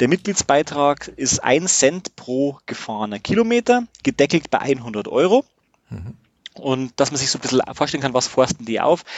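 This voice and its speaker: At a moderate pace, a man talks in a fairly high pitch that swings very widely. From Bavaria, Regensburg. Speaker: camper van traveller. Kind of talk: casual chat. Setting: in his motorhome. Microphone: good sound in motorhome.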